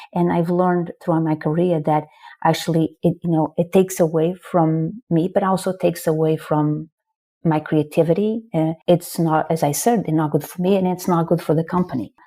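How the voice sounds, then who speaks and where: A woman with a Portuguese accent speaks at a fairly low pitch in a dark, mellow tone. Her intonation is fairly even and her pace moderate. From northern Portugal. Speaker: marketing executive. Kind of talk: podcast interview.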